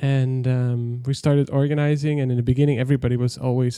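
A man with a Dutch accent speaks at a medium pitch and a fairly quick pace. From Netherlands, village near German border. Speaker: software developer, company founder. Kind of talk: interview conversation. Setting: remote call, early morning.

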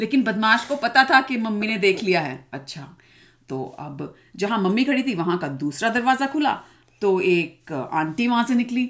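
The pitch swings very widely. Loudness rises and falls in big swings. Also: woman, fairly high pitch for a woman. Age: 40s. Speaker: children's podcast host and mother. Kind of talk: storytelling for children. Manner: animated.

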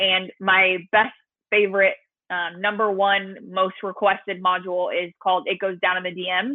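A woman at medium pitch with a Californian accent and monotone, flat intonation. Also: moderate pace. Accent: General American (California). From Southern California. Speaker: social media marketing coach. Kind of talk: podcast interview.

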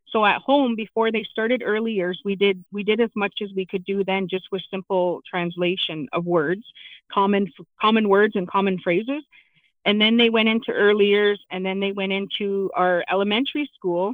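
Delivered at a moderate tempo, the speech shows ordinary variation in pitch. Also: woman, medium pitch for a woman. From southwestern Ontario, Canada (London). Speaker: parent and education trustee. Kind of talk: interview. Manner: halting, many fillers.

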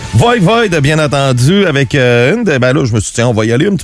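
Music plays in the background as a man speaks at a fairly quick pace. His pitch is fairly high and his intonation lively. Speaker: music radio columnist. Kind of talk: casual chat.

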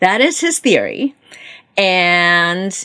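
Speaking with a Korean accent, a woman lets her pitch swing very widely. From South Korea (Seoul), moved to Baltimore at 11. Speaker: novelist. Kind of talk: interview.

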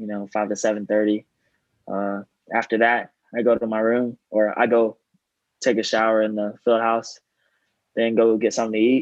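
Against a quiet background, a man with an American accent and a fairly low pitch talks at a moderate pace in a monotone, flat intonation. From East Texas. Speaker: college football player. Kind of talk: casual interview. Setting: video call.

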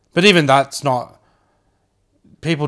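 An Australian accent at a moderate pace on a very clean recording with a silent background. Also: man. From Brisbane, Australia. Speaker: podcast host. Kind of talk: casual chat.

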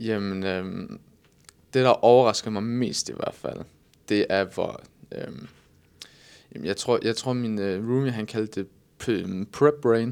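Very slow speech from a man at medium pitch, with ordinary pitch variation and long, frequent pauses. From Southern Jutland, Denmark. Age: 20s. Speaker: bodybuilder and online coach. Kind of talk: casual interview.

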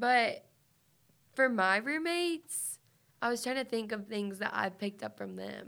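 Over a silent background in a very clean recording, a woman with a fairly high pitch speaks at a fairly slow pace, leaving long, frequent pauses. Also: lively intonation. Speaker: student podcast host. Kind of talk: casual chat.

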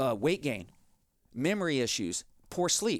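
Very wide pitch swings and vocal fry mark this fairly high-pitched man's voice with an American accent, recorded very cleanly against a silent background. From Texas. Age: 40s. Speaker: nurse, holistic clinic owner and podcast host. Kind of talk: health podcast monologue. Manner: animated.

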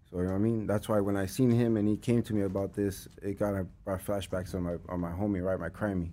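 Speaking very fast with hardly any pauses, a man with an American accent uses a dark, mellow tone, a fairly low pitch and monotone, flat intonation. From Los Angeles, North Hollywood. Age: 40s. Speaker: music manager. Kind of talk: casual interview chat.

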